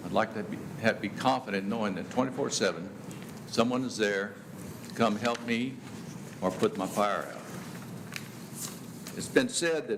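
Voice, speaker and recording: A man speaks at a moderate pace with a medium pitch and ordinary pitch variation. Audible room echo surrounds his voice. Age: 70s. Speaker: public commenter at county meeting. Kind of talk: public comment at government meeting. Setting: county commissioners court meeting.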